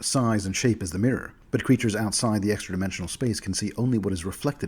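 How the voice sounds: A natural reading voice, with pitch moving in an ordinary way throughout.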